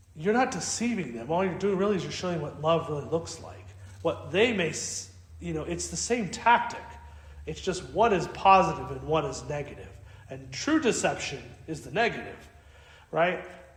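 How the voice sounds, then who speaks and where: A man's voice shows big swings in loudness. Audible room echo and noticeable background noise are present. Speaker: Orthodox priest. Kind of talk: Bible study talk to parishioners. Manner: fast; casual, conversational.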